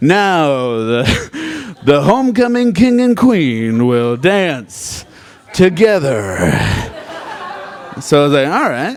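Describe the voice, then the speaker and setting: Over noticeable background noise, a man with a fairly high pitch speaks at a very slow pace with very wide pitch swings. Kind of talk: live storytelling performance. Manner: casual, comedic.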